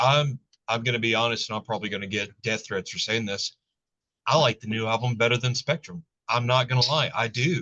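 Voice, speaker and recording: This man talks at a fairly quick pace, at a medium pitch with ordinary pitch variation. His voice sounds dry and close, with no echo. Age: 40s. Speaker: interview host and bass player. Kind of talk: casual interview. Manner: animated.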